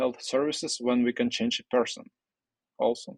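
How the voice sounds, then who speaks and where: A man speaks with a Russian accent. The sound is dry and close, with no echo. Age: 20s. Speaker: entrepreneur. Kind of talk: interview. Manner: halting.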